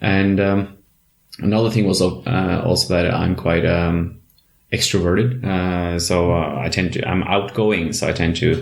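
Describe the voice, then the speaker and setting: With audible room echo, a man speaks at a fairly slow pace in a very deep, low pitch, with ordinary pitch variation and very even loudness. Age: young. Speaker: clinical psychologist. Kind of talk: interview.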